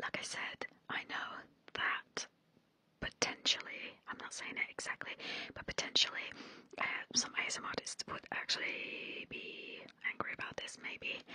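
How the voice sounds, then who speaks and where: A soft-spoken woman whispering at a moderate pace, with long, frequent pauses, in a dry sound with no echo, over light background noise. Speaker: ASMR creator. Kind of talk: casual vlog chat. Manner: soft close-mic whisper. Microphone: studio mic.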